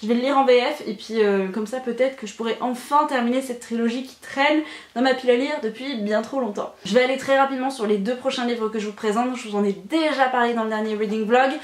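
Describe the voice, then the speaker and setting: Very fast speech comes from a woman with a high pitch and fairly even intonation. Noticeable background noise sits behind her. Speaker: booktuber. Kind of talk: casual book haul video.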